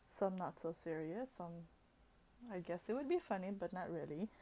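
The voice is soft-spoken, with a dark, mellow tone. It moves at a moderate pace over light background noise. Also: woman. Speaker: vlogger. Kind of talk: casual video diary talk to camera. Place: home room. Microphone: earbuds.

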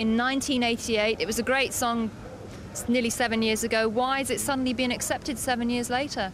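A woman's fairly high-pitched voice at a fairly quick pace, with fairly even intonation

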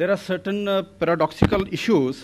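Over light background noise, a man speaks at a moderate pace with ordinary pitch variation. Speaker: conference speaker. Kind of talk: conference speech. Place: hall. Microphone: podium.

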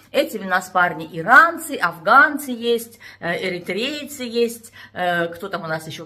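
The background is quiet while a woman talks. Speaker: vlogger. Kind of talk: casual vlog chat. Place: home room. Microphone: phone near.

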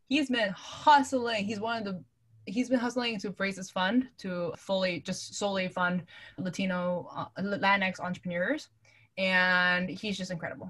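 A woman with an unremarkable speaking voice, an American accent, medium pitch, lively intonation and a moderate pace. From New York City. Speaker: venture capital investor. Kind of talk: casual interview.

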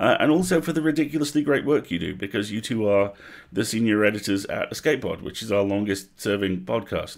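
At a fairly quick pace, the pitch shifts in an ordinary way. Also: man, fairly low pitch for a man.

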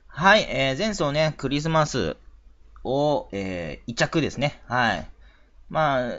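This man's voice is fairly high in pitch with very wide pitch swings. He speaks at a fairly slow pace. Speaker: horse racing tipster. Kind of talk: solo talk video. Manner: halting, many fillers.

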